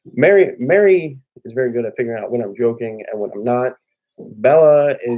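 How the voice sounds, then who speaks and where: A man moves along at a fairly quick pace. His intonation is lively, with big swings in loudness. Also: medium pitch for a man. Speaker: family vlogger. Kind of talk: casual chat. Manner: rarely raises voice.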